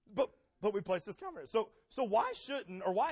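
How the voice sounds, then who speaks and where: This man has an animated tone and lively intonation. He speaks at a high pitch and a moderate pace. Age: 30s. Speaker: pastor. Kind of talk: sermon.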